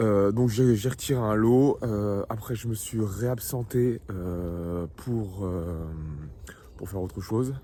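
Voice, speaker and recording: A man speaks at a fairly low pitch. His pace is very slow and his intonation fairly even. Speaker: trader vlogger. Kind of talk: casual video diary. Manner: soft-spoken; halting, many fillers.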